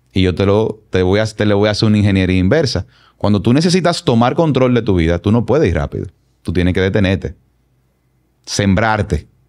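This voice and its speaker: At a fairly quick pace, a man talks with very even loudness against a quiet background. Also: fairly low pitch for a man, lively intonation. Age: 40s. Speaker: consultant and politician; podcast guest. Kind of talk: personal testimony interview. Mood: reflective, earnest. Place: studio. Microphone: studio mic.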